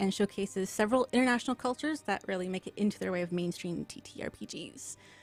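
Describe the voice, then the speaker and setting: A woman mumbles at a very fast pace with ordinary pitch variation, in a dry, close sound with no echo. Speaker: game master and stream host. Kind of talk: live-streamed tabletop game introduction. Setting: live stream. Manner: mumbles syllables.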